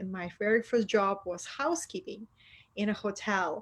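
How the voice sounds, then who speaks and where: A woman with a Russian accent speaks at a moderate pace and a medium pitch. Her pitch variation is ordinary, and the background is quiet. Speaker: spiritual mentor. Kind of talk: interview. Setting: online video call.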